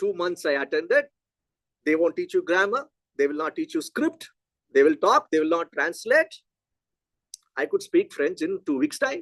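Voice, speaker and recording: With a Telugu accent, the speaker talks at a moderate pace with long, frequent pauses, in a dry, close sound with no echo. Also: man. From South India, Chennai. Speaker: physics education researcher. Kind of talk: lecture Q&A discussion.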